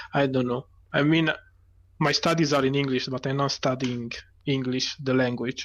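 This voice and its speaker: At a moderate pace, a man with a non-native accent talks in a flat monotone of medium pitch, pausing long and often. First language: not English. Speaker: guest esports caster. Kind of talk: live commentary. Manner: halting.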